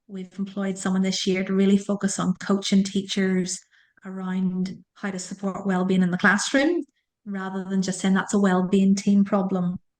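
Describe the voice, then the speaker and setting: A woman with an Irish accent speaks at a medium pitch in a monotone, flat intonation. The recording is very clean, with a silent background. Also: moderate pace. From Ireland. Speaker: school leader and careers coach. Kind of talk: interview.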